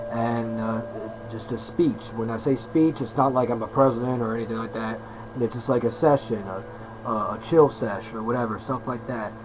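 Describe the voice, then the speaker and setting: Moderate pace over noticeable background noise. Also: man, medium pitch for a man, fairly even intonation. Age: 30s. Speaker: personal trainer and vlogger. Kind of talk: casual monologue vlog.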